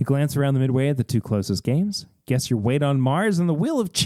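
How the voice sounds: A natural reading voice carries the text with lively intonation.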